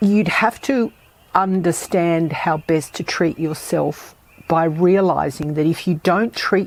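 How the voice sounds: Speaking at a slow pace with few pauses, a woman uses a low pitch with ordinary pitch variation, vocal fry and a slightly husky edge.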